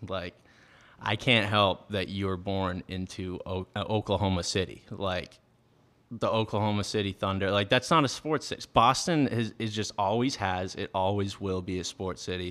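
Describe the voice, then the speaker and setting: This man has an American accent and a fairly low pitch with ordinary pitch variation. He talks at a moderate pace on a very clean recording with a silent background. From Massachusetts. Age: 20s. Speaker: podcaster. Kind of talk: casual monologue. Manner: halting, many fillers.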